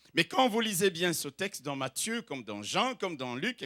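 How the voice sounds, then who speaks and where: Recorded dry and close with no echo against a silent background, a man raises and projects his voice, its tone bright and sharp. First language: not French (speaking French). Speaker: pastor. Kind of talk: sermon. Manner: exhortative, emphatic.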